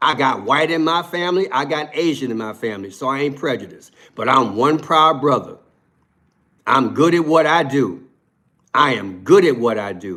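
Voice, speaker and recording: At a moderate pace, a man with a fairly high pitch sounds bright, sharp and animated, with lively intonation and some vocal fry. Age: 60s. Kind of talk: live stream commentary.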